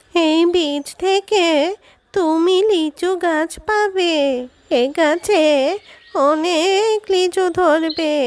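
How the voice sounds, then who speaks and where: A woman performs a cartoonish character voice at an extremely high pitch and a very slow pace. Her intonation stays fairly even and her loudness very even. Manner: affectionate, soft-spoken.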